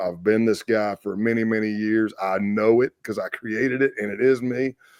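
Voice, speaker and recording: With a South Carolina accent, a man talks at a moderate pace and a fairly low pitch in a dry, close sound with no echo. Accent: Southern US, South Carolina. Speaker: retired FBI agent. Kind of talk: interview storytelling. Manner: loud.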